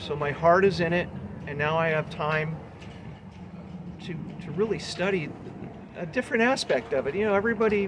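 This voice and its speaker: A high-pitched man with an American accent speaks at a fairly quick pace with long, frequent pauses, noticeable background noise behind him. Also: ordinary pitch variation. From Lakeside, California. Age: 60s. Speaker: local historian. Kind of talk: interview answer.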